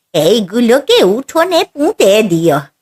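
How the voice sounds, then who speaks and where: Cartoonish character voice from a woman, very slow, with very wide pitch swings and faint music in the background. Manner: soft, humble.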